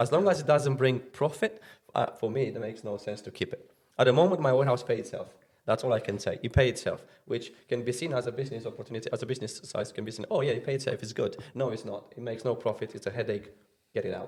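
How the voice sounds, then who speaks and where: Very fast and somewhat breathy, a man speaks at a medium pitch with ordinary pitch variation. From Romania. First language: Romanian. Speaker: removal company owner. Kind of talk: podcast interview. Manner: halting.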